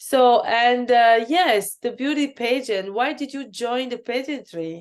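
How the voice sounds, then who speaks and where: A woman with a French accent speaks at a fairly slow pace, her pitch high with ordinary variation. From Cameroon. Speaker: podcast host, beauty queen. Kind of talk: interview.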